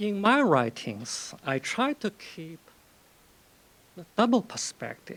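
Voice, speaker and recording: With long, frequent pauses, a man speaks very slowly in a high voice that makes very wide pitch swings. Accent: Chinese. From China. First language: Chinese. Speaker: novelist. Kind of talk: lecture. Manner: conversational, with frequent fillers.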